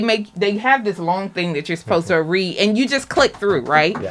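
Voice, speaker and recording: A woman's plain, everyday voice, medium in pitch, with lively intonation. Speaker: radio host. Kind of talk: radio interview. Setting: studio.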